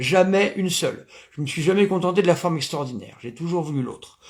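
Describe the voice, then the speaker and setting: A man speaks at a fairly quick pace with a lively, bouncing intonation. His pitch sits high. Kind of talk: lecture. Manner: loud; hesitant, many fillers.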